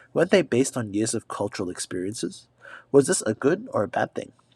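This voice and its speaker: The man's voice swings very widely in pitch at a fairly quick pace, dry and close with no echo, on a very clean recording with a silent background. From Australia, Sydney. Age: 20s. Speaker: exchange student vlogger. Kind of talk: scripted narration.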